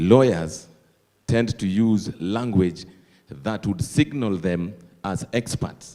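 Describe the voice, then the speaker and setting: A man with a Kenyan accent and a fairly low, dark, mellow voice, at a very slow pace with long, frequent pauses and ordinary pitch variation. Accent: Kenyan (Luo) English. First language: Dholuo. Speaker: associate professor of applied linguistics. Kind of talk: conference Q&A comment.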